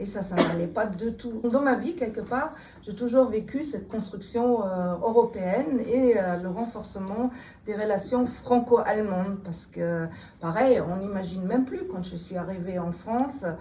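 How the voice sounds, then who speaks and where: A woman with a fairly high voice speaks at a fairly slow pace, with ordinary pitch variation and big swings in loudness. Audible room echo and noticeable background noise surround her. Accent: slight German. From Germany. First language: German (speaking French). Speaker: politician. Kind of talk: interview. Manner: hesitant, many fillers.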